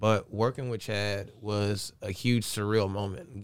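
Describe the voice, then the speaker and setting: On a very clean recording with a silent background, a man with a Southern US accent speaks in a fairly low, monotone, flat voice. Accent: Southern US (Georgia). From US South, Augusta/Aiken area (Georgia/South Carolina). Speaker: DJ and entrepreneur. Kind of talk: interview.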